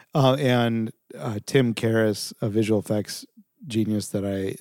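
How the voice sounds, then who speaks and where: Dry and close with no echo, a man with a Californian accent speaks at a fairly low pitch in a dark, mellow tone with fairly even intonation. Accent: Californian American. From Southern California. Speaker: video production company founder. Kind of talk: interview.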